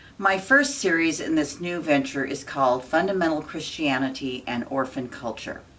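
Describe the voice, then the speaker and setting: The delivery moves at a moderate pace, with noticeable background noise present. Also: woman, very deep, low pitch for a woman, ordinary pitch variation. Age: 60s. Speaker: spiritual channel host. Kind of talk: scripted talk to camera; casual monologue. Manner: halting.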